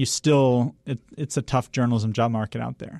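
This man has an unremarkable speaking voice at a medium pitch with fairly even intonation. The sound is dry and close, with no echo. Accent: American. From US Northeast, western Massachusetts. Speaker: political journalist. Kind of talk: interview. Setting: studio.

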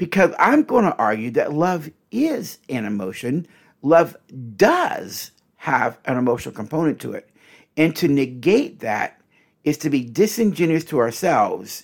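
A man's fairly high voice with vocal fry and very wide pitch swings, fairly slow, on a very clean recording with a silent background. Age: 60s. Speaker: podcast host and relationship counselor. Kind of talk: solo teaching monologue. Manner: conversational, direct address to listeners.

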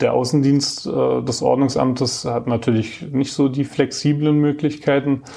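Against noticeable background noise, a man speaks at a moderate pace in a fairly high, monotone, flat voice, with very even loudness and hardly any pauses. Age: 30s. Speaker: staff council member. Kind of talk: interview.

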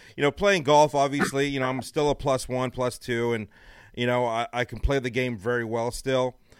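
This man has an ordinary speaking voice, medium in pitch, with fairly even intonation. He talks at a fairly quick pace in a very clean recording with a silent background. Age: 40s. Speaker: radio host. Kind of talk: casual chat.

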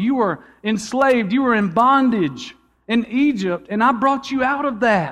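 A man speaks with a Georgia accent at a fairly slow pace. The background is quiet. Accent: Southern American (Georgia). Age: 30s. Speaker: pastor. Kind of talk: sermon. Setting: church.

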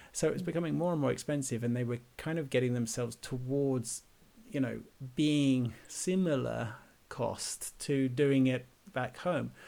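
Dark and mellow in tone, a man of medium pitch speaks at a moderate pace with an English accent and ordinary pitch variation. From England. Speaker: podcast host. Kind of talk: casual interview. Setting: remote call.

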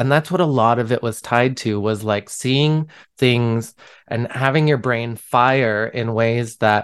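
A man speaks with a normal speaking voice at medium pitch and a fairly slow pace. The background is quiet. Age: 30s. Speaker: podcast host. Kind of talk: casual chat.

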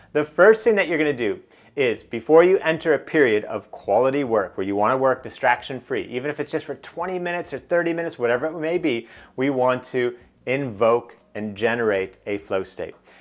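A man in an ordinary speaking voice talks at a fairly quick pace, with a medium pitch and lively intonation. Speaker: business coach and podcast host. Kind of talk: guided meditation. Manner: instructional, paced with pauses.

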